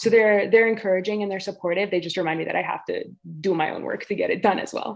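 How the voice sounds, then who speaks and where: A woman talks very fast in a Canadian accent. Her voice sits at a medium pitch with fairly even intonation. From Ontario, Canada. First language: Greek. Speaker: author. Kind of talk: interview. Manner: hesitant, many fillers.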